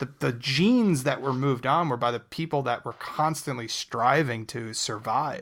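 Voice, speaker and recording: With an American accent and an unremarkable speaking voice, a man talks at a medium pitch and a moderate pace, showing ordinary pitch variation and hardly any pauses. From New Jersey. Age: 30s. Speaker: comedian and improviser. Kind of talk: casual chat.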